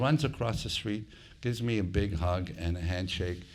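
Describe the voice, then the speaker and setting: A man's very deep, low voice at a moderate pace, with fairly even intonation and audible room echo. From immigrated to Canada at 15. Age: 60s. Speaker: hospitality entrepreneur. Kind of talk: live interview.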